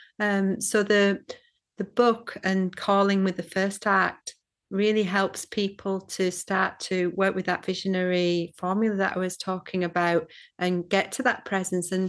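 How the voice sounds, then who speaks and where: A woman's medium-pitched voice with a Scottish accent, monotone, flat intonation and a fairly slow pace over a quiet background. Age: 50s. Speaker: psychotherapist and shamanic teacher. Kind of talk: interview. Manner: halting, many fillers and repeats.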